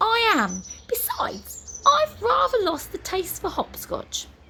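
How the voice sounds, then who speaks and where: Speaking fairly slowly, a woman uses a put-on character voice pitched extremely high. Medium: read story. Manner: formal, dry.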